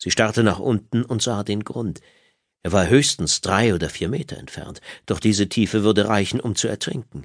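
A man's fairly low voice moves at a moderate speed, its pitch varying in an ordinary way, with little behind it but a quiet background. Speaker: audiobook narrator. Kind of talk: audiobook dramatic narration. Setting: studio. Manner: dramatic, suspenseful storytelling; measured, expressive pacing.

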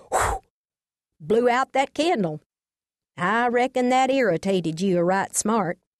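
At a moderate pace, a woman speaks in a high pitch with a warm, animated tone and very wide pitch swings. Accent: Texas. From Texas. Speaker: audiobook narrator and storyteller. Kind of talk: scripted storytelling, audiobook memoir reading. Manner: animated, comic, expressive; folksy, warm, homespun storytelling.

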